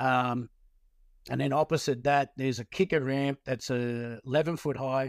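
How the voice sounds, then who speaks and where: The recording is very clean, with a silent background. A man with a fairly high pitch speaks at a moderate pace with ordinary pitch variation. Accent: Australian. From Victoria, Australia (Melbourne western suburbs). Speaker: skateboarder and skate industry veteran. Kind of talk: casual interview.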